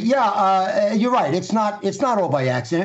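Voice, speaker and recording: Noticeable background noise sits behind a man speaking at a moderate pace. His pitch is high and his intonation lively. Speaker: political commentator. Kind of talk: political commentary.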